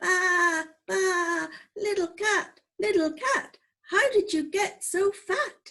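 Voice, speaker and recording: A woman does a squeaky, put-on character voice with an extremely high pitch. She speaks at a very slow pace. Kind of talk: bedtime story. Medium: read story.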